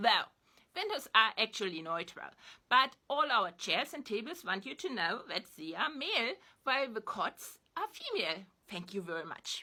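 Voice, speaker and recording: A woman with a German accent speaks at a moderate pace in a fairly high voice. Her pitch swings very widely. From East Germany. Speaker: online commentator. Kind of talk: spoken reflection to camera.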